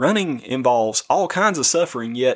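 The recording is very clean, with a silent background. A man speaks at a fairly quick pace and medium pitch, his intonation lively. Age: 30s. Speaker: podcast host and running coach. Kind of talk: devotional podcast monologue.

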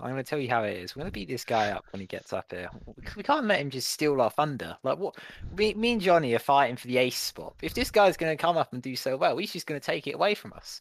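A man's fairly high voice with a British accent, a very fast pace, very wide pitch swings and big swings in loudness. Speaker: podcast co-host. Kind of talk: casual chat. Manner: jokey, laughs often.

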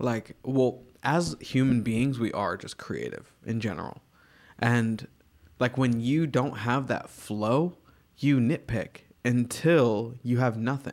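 A man with an American accent speaks at a very slow pace and medium pitch, with ordinary pitch variation. The recording is very clean, with a silent background. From Virginia, US. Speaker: artist. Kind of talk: casual chat.

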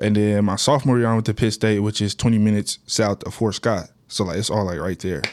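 In a very clean recording with a silent background and a dry, close sound with no echo, a man with an American accent talks very fast in a fairly low voice with ordinary pitch variation. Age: 20s. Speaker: basketball player. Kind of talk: casual chat.

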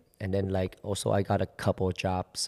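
A man with a Vietnamese accent and a very deep, low pitch is heard in a very clean recording with a silent background and a dry, close sound with no echo. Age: 20s. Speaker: choreographer. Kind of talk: casual interview chat. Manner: casual, hesitant.

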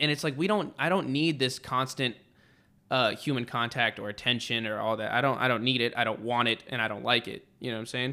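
A man with an American accent speaks at a fairly quick pace. His tone is bright and sharp, with ordinary pitch variation. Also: medium pitch for a man, very clean recording, silent background. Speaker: podcast host; Marine. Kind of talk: casual chat. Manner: energetic, casual.

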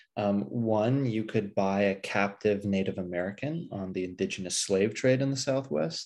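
A man with an unremarkable speaking voice, fairly low in pitch, with ordinary pitch variation, a moderate pace, hardly any pauses and a quiet background. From Pasadena, California. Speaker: history professor and author. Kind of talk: interview.

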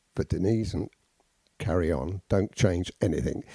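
The man's voice is dark, mellow and somewhat breathy. The sound is dry and close, with no echo. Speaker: podcast host, art teacher. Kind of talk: casual chat.

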